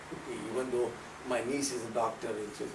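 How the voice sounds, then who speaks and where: Fairly quick speech from a man amid noticeable background noise and audible echo from the room. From India. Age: 70s. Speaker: religious community speaker. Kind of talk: informal talk to audience. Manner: conversational, frequent okay fillers.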